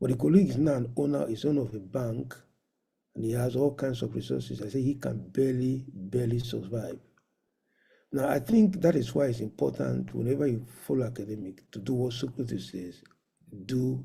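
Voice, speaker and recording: In a room with audible echo, a man speaks at a fairly quick pace in a dark, mellow, somewhat breathy voice of medium pitch with lively intonation. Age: 60s. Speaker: professor and medical doctor. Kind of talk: conference lecture. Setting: virtual conference.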